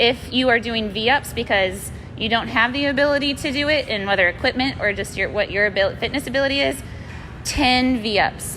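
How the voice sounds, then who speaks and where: The voice is loud and moves at a moderate pace with ordinary pitch variation, while audible room echo and noticeable background noise sit around it. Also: woman, fairly high pitch for a woman. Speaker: fitness instructor. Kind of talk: live workout class instruction. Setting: live-streamed video from gym. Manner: loud, projecting; casual, chatty.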